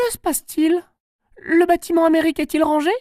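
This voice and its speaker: A man puts on a squeaky character voice at an extremely high pitch. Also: fairly quick pace. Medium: read story. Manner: firm, commanding.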